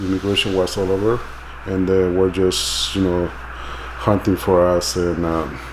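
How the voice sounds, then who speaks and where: Against noticeable background noise, a man with a Mexican accent speaks at a moderate pace and a fairly low pitch. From Mexico City. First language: Spanish. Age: 40s. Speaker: immigrant interviewee. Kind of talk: documentary interview. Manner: halting.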